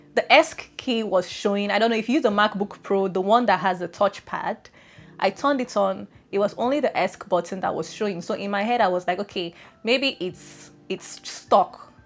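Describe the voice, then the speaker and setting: Music plays behind a woman speaking at medium pitch. Her tone is animated, with ordinary pitch variation. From Nigeria. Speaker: lifestyle YouTuber. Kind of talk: casual vlog chat. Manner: fast.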